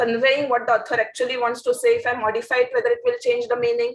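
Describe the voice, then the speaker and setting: In a Marathi accent, a woman speaks at a high pitch in a monotone, flat intonation. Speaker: editor and event presenter. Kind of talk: event presentation and personal reflection.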